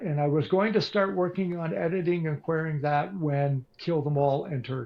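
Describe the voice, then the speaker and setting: Here a man has an ordinary speaking voice. He moves at a fairly quick pace with ordinary pitch variation. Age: 60s. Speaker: author and radio broadcaster. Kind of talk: interview.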